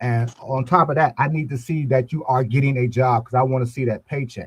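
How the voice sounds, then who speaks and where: A man with an American accent speaks at medium pitch and a fairly quick pace. His voice is somewhat breathy, with ordinary pitch variation. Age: 70s. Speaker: boxing coach. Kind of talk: casual chat.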